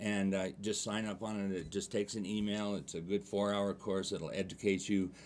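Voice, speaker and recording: Fairly low in pitch, a man talks with hardly any pauses. His intonation is monotone and flat. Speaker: real estate agent. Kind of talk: TV interview. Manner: fast.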